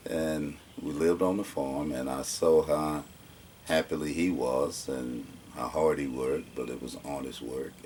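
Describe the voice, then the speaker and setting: A man with an Alabama accent and a very deep, low pitch speaks at a moderate pace, his loudness swinging widely over noticeable background noise. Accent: Southern US (Alabama). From US South, Alabama. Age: 60s. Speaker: oral history interviewee. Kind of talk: oral history interview.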